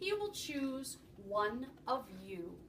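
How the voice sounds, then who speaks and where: Over clear background noise, a woman puts on a character voice, her high pitch leaping through very wide swings. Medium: read story. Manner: calm, matter-of-fact.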